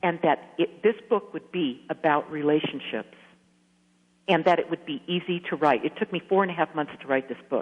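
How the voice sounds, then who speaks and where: At a moderate pace, a woman talks in a normal speaking voice that is fairly low, with ordinary pitch variation. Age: 60s. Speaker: author. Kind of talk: radio interview.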